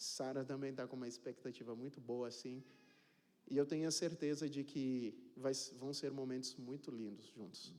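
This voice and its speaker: Audible room echo surrounds a man whose dark, mellow, medium-pitched voice moves at a moderate pace with fairly even intonation. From Cape Verde. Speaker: pastor. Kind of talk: sermon. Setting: church. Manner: casual, joking.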